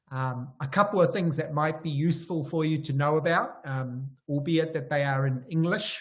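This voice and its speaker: With a New Zealand accent, a man speaks in a fairly high pitch at a moderate pace, varying his pitch in an ordinary way and hardly pausing. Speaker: professor. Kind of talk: lecture. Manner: hesitant.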